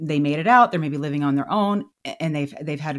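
A woman's plain, everyday voice at a fairly quick pace, with ordinary pitch variation. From Texas. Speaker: stay-at-home mother and nonprofit founder. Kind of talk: podcast interview.

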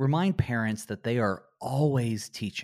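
With a plain, everyday voice, a man of medium pitch speaks fairly slowly with lively intonation. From US South, Western North Carolina. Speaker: Lutheran pastor. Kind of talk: radio interview on theology.

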